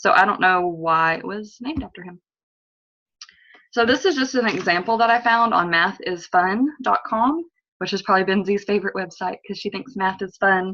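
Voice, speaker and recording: Her medium-pitched voice has a bright, sharp tone, ordinary pitch variation and big swings in loudness. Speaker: student. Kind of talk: class presentation rehearsal. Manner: fast.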